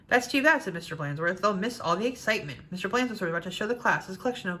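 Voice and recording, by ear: This is reading aloud in a natural voice. The words are read as written.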